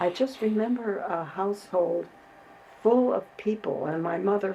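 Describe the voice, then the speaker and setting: A woman at a medium pitch and a fairly slow pace, with an American accent and noticeable background noise. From US Midwest, Chicago. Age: 90s. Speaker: community activist. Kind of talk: interview.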